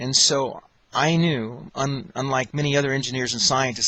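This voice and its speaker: Fairly even intonation and a medium pitch in a man's speech at a moderate pace. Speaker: electrical engineer. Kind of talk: testimony. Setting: audio recording. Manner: halting, many fillers.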